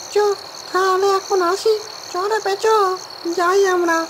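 A squeaky, cartoonish character voice at a fairly slow pace over loud background noise. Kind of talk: comic cartoon ghost voice. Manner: gruff, condescending, gullible.

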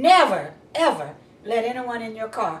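A woman with a fairly high pitch makes very wide pitch swings, and audible room echo surrounds her voice. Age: old. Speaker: crime victim, widow. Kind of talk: interview answer. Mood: earnest warning. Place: home room. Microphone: camera far.

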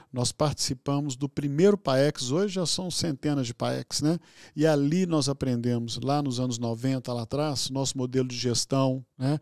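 A man speaks at a fairly slow pace with ordinary pitch variation and hardly any pauses. The background is quiet, and the sound is dry with no echo. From Minas Gerais, Brazil. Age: 60s. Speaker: physician and hospital executive; guest. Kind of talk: interview conversation. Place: studio. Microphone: studio mic.

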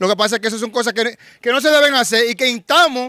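A man speaks in a raised, projected voice at an extremely high pitch, very fast, with a bright, sharp tone, ordinary pitch variation and a dry, close sound with no echo. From Dominican Republic, Santo Domingo barrio. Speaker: rapper, former gang member. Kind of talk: street interview, casual. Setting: outdoors in neighborhood.

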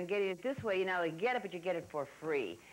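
The voice belongs to a woman. She speaks with lively intonation. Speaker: TV craft show host. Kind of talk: tutorial. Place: studio. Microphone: lapel.

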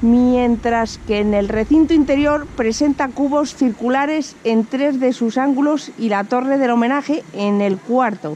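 Over light background noise, a woman with a high pitch speaks at a fairly slow pace with ordinary pitch variation. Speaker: travel vlogger. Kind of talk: reading an info sign aloud. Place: street. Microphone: phone near.

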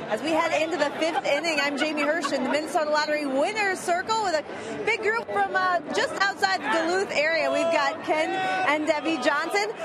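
A woman speaks at an extremely high pitch, at a fairly quick pace with hardly any pauses. Crowd noise sits in the background, and the sound is dry with no echo. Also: lively intonation. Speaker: in-game field reporter. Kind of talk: sideline reporting. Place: stadium. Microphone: handheld.

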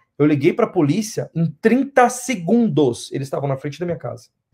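Over a quiet background, the somewhat breathy voice moves through very wide pitch swings. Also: man. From Brazil, São Paulo city. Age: 20s. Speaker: interviewee, Brazilian immigrant; interview guest. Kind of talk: interview; interview answer. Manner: halting, repeats words. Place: home room.

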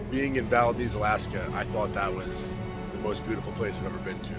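Clear music plays in the background as a man speaks, the sound dry with no echo. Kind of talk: casual vlog chat. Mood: awed, excited. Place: boat. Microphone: phone near.

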